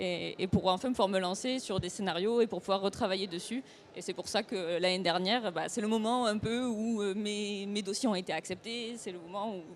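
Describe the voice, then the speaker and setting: This is a normal speaking voice at a moderate pace. The pitch varies in an ordinary way. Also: woman. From France, Toulouse region. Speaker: comics author and illustrator. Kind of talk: panel discussion.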